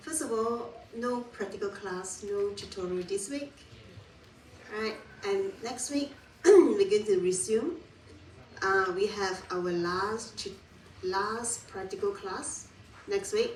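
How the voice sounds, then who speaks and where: Amid audible room echo, a woman speaks at a very slow pace with a fairly high pitch and lively intonation. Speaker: university lecturer. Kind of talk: lecture. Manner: loud.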